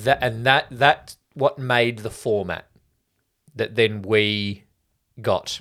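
In an Australian accent, a man speaks very slowly with long, frequent pauses. His tone is bright and sharp. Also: medium pitch for a man, fairly even intonation. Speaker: podcast co-host. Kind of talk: casual chat.

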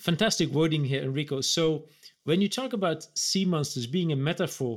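This man has a normal speaking voice at fairly high pitch. He talks at a fairly quick pace with ordinary pitch variation. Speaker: business executive co-host. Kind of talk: interview. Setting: video call.

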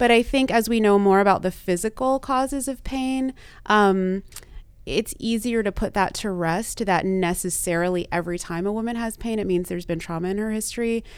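A woman's fairly high voice with an American accent, a plain, everyday voice, ordinary pitch variation and a fairly quick pace, on a very clean recording with a silent background. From US South (Texas and Louisiana). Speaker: sex and relationship therapist. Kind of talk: interview conversation.

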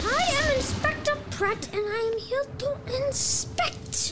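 A put-on character voice at an extremely high pitch and fairly slow pace, with clear music in the background. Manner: officious, self-important.

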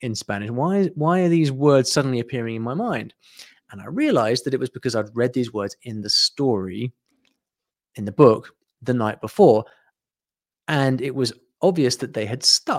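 A man in a British accent, fairly quick in pace, with lively intonation. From UK. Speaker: online business founder, language teaching. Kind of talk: interview, casual conversation. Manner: hesitant, repeats words.

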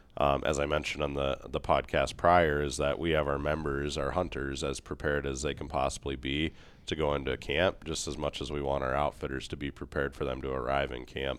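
A man talks at a fairly quick pace with hardly any pauses. His voice has a very deep, low pitch and monotone, flat intonation. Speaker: adventure booking staff. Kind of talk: casual chat. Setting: studio.

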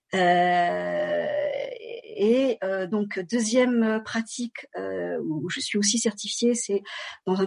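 A woman speaks in a somewhat breathy voice. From France. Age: 50s. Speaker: dance and bodywork teacher. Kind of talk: interview. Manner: halting.

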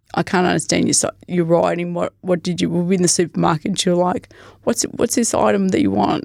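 In a very clean recording with a silent background and a dry, close sound with no echo, a woman with an Australian accent speaks at a fairly quick pace with very even loudness. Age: 40s. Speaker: hiker living with Parkinson's disease. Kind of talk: casual interview.

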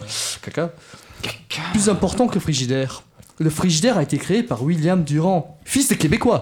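Using very wide pitch swings, a man speaks at a moderate pace in a high pitch. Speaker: radio show panelist doing a comedic segment. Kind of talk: comedic scripted segment.

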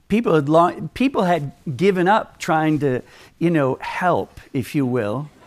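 With an American accent and an unremarkable speaking voice, a man speaks fairly slowly at a fairly high pitch with lively intonation. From Minnesota, US. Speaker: Bible teacher. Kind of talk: sermon. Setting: conference with audience.

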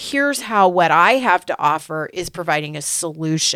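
Very wide pitch swings mark this woman's animated tone as she talks at a moderate pace, heard in a dry, close sound with no echo on a very clean recording with a silent background. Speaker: podcast co-host, business coach. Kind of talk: casual business podcast chat. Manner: animated, chatty.

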